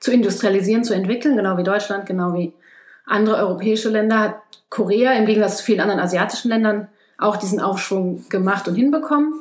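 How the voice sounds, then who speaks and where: A normal speaking voice from a woman at medium pitch, with ordinary pitch variation. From Germany. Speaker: ecologist. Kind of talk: casual interview.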